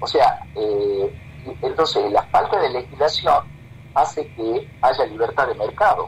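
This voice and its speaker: Noticeable background noise sits under a man speaking at a very slow pace. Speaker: physician specializing in reproductive medicine. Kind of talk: radio interview.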